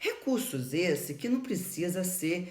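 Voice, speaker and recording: In a room with audible echo, a woman speaks very slowly in a somewhat breathy voice, her pitch swinging very widely. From Campos dos Goytacazes, Rio de Janeiro state, Brazil. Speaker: doctor and teacher of facial aesthetics. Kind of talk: informal educational talk to camera. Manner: emphatic.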